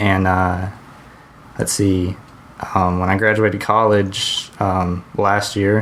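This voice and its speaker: A man's very deep, low voice in a flat monotone, fairly slow, amid noticeable background noise. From US South, Georgia (Hampton, near Atlanta). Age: 20s. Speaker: podcast co-host. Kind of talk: casual chat. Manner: hesitant, many fillers.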